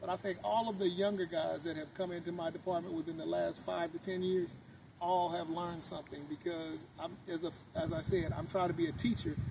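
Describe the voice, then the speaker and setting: Fairly quick, lively speech in an American accent over noticeable background noise. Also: man. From US West Coast, Oakland, California. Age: 60s. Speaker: car owner and city sanitation supervisor. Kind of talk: interview.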